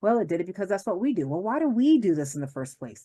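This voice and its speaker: A woman's animated tone over a quiet background. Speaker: law professor. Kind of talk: lecture. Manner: fast.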